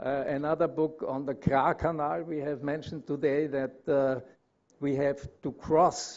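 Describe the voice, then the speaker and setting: This speaker talks at a fairly slow pace with a German accent and fairly even intonation. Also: man, fairly high pitch for a man. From Austria. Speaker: consulting engineer. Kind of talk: conference presentation. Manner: halting, many fillers.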